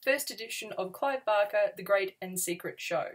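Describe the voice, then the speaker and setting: With ordinary pitch variation, a woman delivers her words at a moderate pace. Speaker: book vlogger. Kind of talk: casual vlog chat. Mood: cheerful, enthusiastic. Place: home room.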